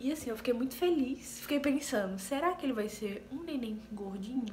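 A woman talks at a moderate pace, her pitch varying in an ordinary way, with light background noise behind her. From Paraíba, Northeast Brazil. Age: 20s. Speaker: vlogger, nursing technician. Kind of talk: casual talk to camera. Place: home room. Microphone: phone near.

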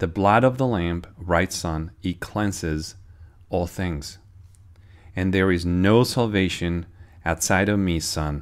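The tone is solemn and intense, with ordinary pitch variation at a very slow pace. The background is quiet. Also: man. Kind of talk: sermon-style prophetic teaching, reading a received prayer message. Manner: earnest, urgent, warning tone; fervent, solemn prayer-like delivery with intense urgent pleas. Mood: solemn, earnest. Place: home room. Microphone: phone near.

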